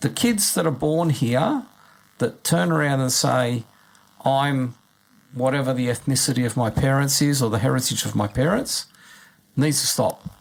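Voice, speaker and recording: A man with an Australian accent, medium pitch, ordinary pitch variation, very even loudness, a moderate pace and long, frequent pauses. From Australia, Sydney area. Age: 60s. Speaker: community radio co-host and local councillor. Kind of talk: radio panel discussion. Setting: radio studio.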